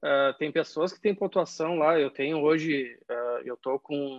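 Fairly high in pitch, a man talks at a fairly slow pace with fairly even intonation. It is an ordinary speaking voice. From southern Brazil, Caxias do Sul (Rio Grande do Sul). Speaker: football fan. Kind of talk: casual chat.

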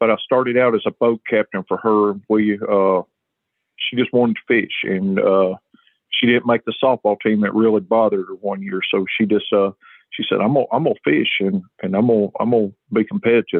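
A man's fairly low voice at a fairly quick pace, fairly even in intonation, an ordinary speaking voice. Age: 40s. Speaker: high school fishing tournament director. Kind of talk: interview.

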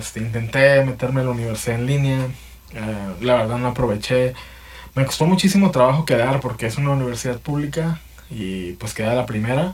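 A man at a fairly quick pace, medium-pitched and somewhat breathy, with a Mexican accent. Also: ordinary pitch variation. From Mexico. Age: 30s. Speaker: podcaster. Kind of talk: personal monologue. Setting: home. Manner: halting, many repetitions and fillers; casual.

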